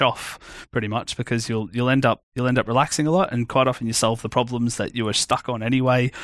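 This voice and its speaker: Captured dry and close with no echo on a very clean recording with a silent background, a man with an Australian accent talks at a very fast pace and a medium pitch. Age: 30s. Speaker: iOS developer. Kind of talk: casual chat.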